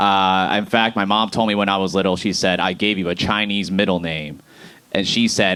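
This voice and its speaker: A man with an American accent speaks at a moderate pace in a normal speaking voice, his pitch fairly low. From Boston, US Northeast. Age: 30s. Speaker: stand-up comedian. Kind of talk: stand-up. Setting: stage with audience.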